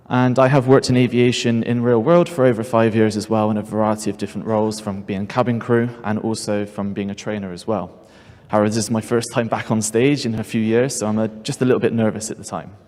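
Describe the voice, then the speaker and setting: Speaking at a very fast pace with hardly any pauses, a man with a British accent keeps a medium pitch and fairly even intonation. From United Kingdom. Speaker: seminar presenter. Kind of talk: conference presentation. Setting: stage with audience.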